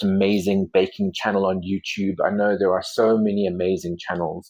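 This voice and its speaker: A man has an ordinary speaking voice, fairly low in pitch with ordinary pitch variation, at a fairly slow pace. The recording is very clean, with a silent background. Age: 40s. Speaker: baking vlogger and life coach. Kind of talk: casual cooking tutorial with reflections. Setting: home kitchen. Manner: warm, conversational.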